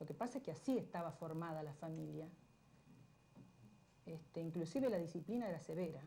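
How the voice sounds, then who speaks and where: Fairly low-pitched woman's voice, dark and mellow and somewhat breathy, at a fairly quick pace with ordinary pitch variation, long, frequent pauses and audible room echo. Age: 60s. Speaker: interviewee. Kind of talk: television interview.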